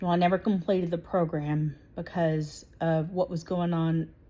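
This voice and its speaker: The voice is somewhat breathy and delivered in a flat monotone. The recording is very clean, with a silent background. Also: woman. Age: 40s. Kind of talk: direct-to-camera political monologue. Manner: hesitant, many 'um' fillers.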